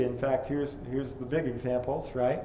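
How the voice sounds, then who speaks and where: A man speaks with a monotone, flat intonation. Both audible room echo and noticeable background noise can be heard. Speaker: lecturer on creationist archaeology. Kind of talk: lecture. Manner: fast; hesitant, many fillers.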